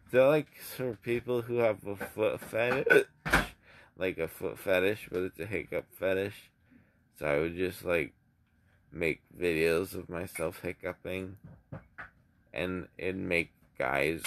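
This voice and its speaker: Over noticeable background noise, a man with a very deep, low pitch talks at a very slow pace, leaving long, frequent pauses. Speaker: vlogger. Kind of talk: casual vlog chat. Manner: slurred, drowsy post-anesthesia speech. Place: home room. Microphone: phone near.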